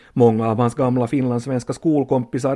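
Fairly even intonation and a medium pitch mark this man's unremarkable speaking voice. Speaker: radio documentary reporter. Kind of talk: documentary narration with interviews.

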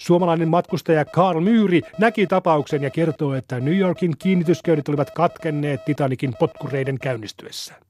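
Music plays behind a man speaking at a moderate pace in a fairly high pitch with lively intonation, the sound dry and close with no echo. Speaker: newsreader. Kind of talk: period newsreel-style news reading, scripted and solemn like a 1912 bulletin. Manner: measured, clear and authoritative, newsreader cadence.

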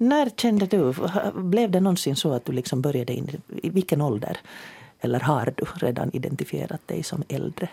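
A woman speaks at a moderate pace with very wide pitch swings and a very deep, low pitch. Her tone is dark and mellow and somewhat breathy. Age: 60s. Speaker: radio host. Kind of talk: radio panel discussion. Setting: studio.

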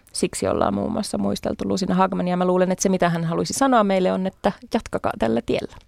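A woman at a very fast pace, in a dry, close sound with no echo. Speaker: party chair, feminist politician. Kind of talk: radio interview. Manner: hesitant, many fillers.

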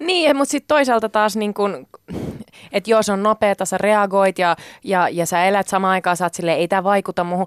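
Recorded very cleanly against a silent background, with a dry, close sound and no echo, a woman speaks at a moderate pace in a plain, everyday voice, her pitch medium and its variation ordinary. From Spain, then Finland from age 12. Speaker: radio journalist and show co-host. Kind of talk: casual chat.

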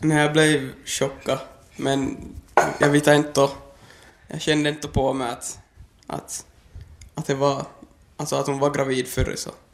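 A man's fairly high voice, fairly slow and monotone, with long, frequent pauses and noticeable background noise. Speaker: young father. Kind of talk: interview.

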